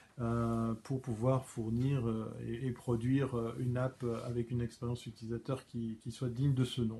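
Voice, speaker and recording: At a moderate pace, a man speaks with a dark, mellow tone that is somewhat breathy. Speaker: live stream host. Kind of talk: solo live stream commentary. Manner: hesitant, many fillers and stammers.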